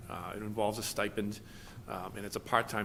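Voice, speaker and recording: A man's voice sits fairly low. He talks at a very fast pace. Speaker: police chief. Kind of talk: report to town board. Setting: town board meeting room.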